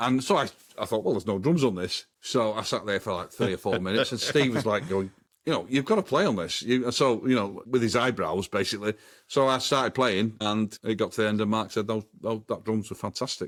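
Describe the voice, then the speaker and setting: At a fairly quick pace, a man with a Manchester accent speaks at a medium pitch with ordinary pitch variation, in a very clean recording with a silent background. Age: 60s. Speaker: drummer, former band member. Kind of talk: interview. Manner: halting.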